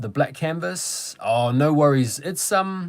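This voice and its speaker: A man with a New Zealand accent and a fairly high pitch speaks at a fairly slow pace. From New Zealand, Wellington. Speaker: sneaker YouTuber. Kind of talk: live stream chat. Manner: casual, hesitant with fillers.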